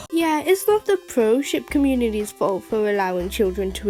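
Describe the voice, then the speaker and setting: A woman speaks with lively intonation while music plays in the background. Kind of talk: reaction commentary voiceover. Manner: sarcastic, irritated.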